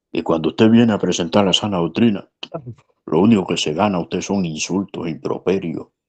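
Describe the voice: Against a quiet background, plain reading aloud with ordinary pitch variation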